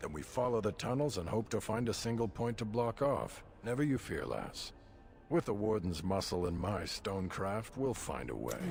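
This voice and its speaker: Against clear background noise, a man at a medium pitch uses a gruff, put-on character voice at a moderate pace. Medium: video game. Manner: blunt, gruff, disdainful.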